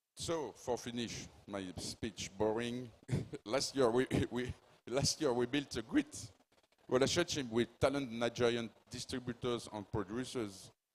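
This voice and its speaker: At a fairly slow pace, a man with a strong French accent and a medium pitch speaks with fairly even intonation. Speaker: film producer. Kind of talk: panel speech. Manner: halting.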